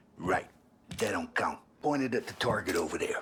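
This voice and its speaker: Putting on a raspy character voice, a man speaks at a fairly quick pace. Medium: video game.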